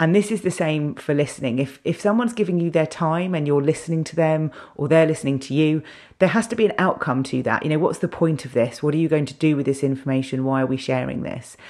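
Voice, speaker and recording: Very deep and low for a woman, her voice has a dark, mellow tone and ordinary pitch variation. She talks at a very fast pace on a very clean recording with a silent background. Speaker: podcast host, internal communications consultant. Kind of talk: solo podcast monologue.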